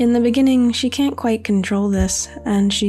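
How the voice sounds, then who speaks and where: Soft-spoken and calm, with a soothing tone, the voice moves at a moderate pace over music in the background. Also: woman. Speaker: digital artist, writer. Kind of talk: ASMR-style soft-spoken talk over drawing video. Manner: calm, soothing, soft-spoken.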